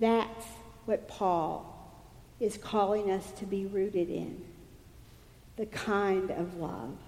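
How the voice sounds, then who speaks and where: With long, frequent pauses and a very slow pace, a woman with an American accent speaks at medium pitch with fairly even intonation, and audible room echo surrounds her. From East Texas. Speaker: pastor. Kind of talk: sermon. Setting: church.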